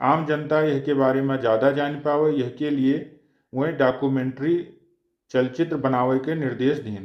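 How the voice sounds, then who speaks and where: Fairly even intonation marks a man's voice, pitched fairly high. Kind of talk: regional news bulletin read.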